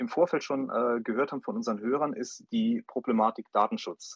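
A man with a fairly high voice speaks at a moderate pace, swinging very widely in pitch. The sound is dry and close with no echo, over a quiet background. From Saarland, Saarbrücken. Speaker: startup advisor, co-host. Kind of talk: radio interview. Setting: phone call.

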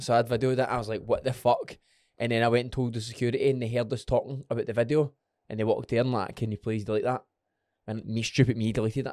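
This man speaks very fast with a Scottish accent. His medium-pitched voice stays monotone and flat. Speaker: podcast host.

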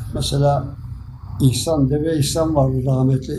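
A man's somewhat breathy voice has a dark, mellow tone at a moderate pace. Audible room echo surrounds it. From Turkey, Sakarya. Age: 80s+. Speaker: retired amateur footballer. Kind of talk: interview reminiscence. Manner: halting.

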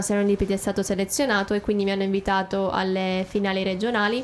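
A woman with a medium pitch talks at a fairly quick pace in an ordinary speaking voice. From Abruzzo, Italy (Teramo). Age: 20s. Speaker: singer-songwriter. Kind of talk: radio interview. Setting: radio studio.

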